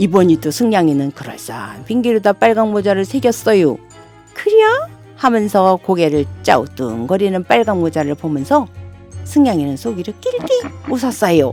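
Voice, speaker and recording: Over music in the background, a woman with a warm tone speaks at a moderate pace, her pitch swinging very widely. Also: medium pitch for a woman. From Daejeon, Chungcheong region, Korea. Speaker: non-professional local native speaker. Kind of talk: children's fairy tale reading. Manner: warm, friendly.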